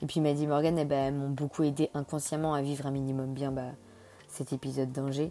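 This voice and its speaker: A woman speaks at a very fast pace, her pitch very deep and low. Her intonation stays monotone and flat. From France, Nantes. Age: young. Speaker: podcaster. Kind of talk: casual monologue. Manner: chatty, hesitant with many fillers.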